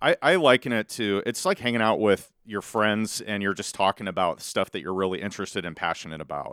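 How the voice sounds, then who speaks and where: A man with a Midwestern US accent talks at a fairly quick pace with hardly any pauses, fairly low in pitch, on a very clean recording with a silent background and a dry, close sound with no echo. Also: ordinary pitch variation. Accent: US Midwest. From Southwest Iowa (Malvern). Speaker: real estate investor and podcaster. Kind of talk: casual interview. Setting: studio.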